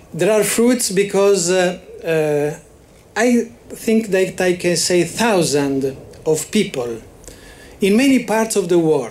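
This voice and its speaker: A high-pitched man with an Italian accent, lively in intonation and fairly slow in pace. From Italy. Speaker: psychology association representative. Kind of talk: memorial speech. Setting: ceremony with audience. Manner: halting, many hesitations.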